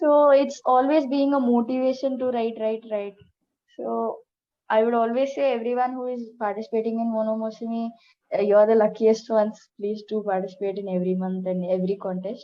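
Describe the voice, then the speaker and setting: A woman speaks at a fairly quick pace with a fairly high pitch and ordinary pitch variation. She has an ordinary speaking voice. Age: young. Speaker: essay contest winner. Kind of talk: interview.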